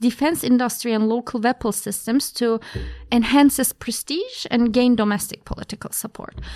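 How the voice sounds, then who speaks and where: Speaking with a Turkish accent, a woman uses a fairly high pitch at a moderate pace. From Turkey, Ankara. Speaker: graduate student. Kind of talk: interview.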